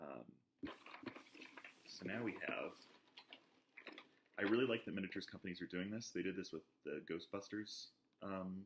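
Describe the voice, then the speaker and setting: A man at a moderate pace, with ordinary pitch variation and long, frequent pauses. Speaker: board game reviewer. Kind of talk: casual talk to camera.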